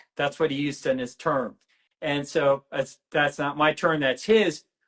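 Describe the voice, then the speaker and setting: This man's pitch rises and falls in an ordinary way. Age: 60s. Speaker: medical doctor and researcher. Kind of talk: interview. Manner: halting.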